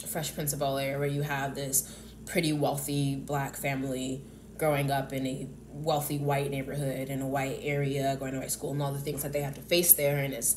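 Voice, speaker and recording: A woman with an American accent and a very deep, low pitch, in audible room echo. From US South. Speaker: YouTuber. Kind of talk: casual monologue vlog. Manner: halting, many fillers and restarts.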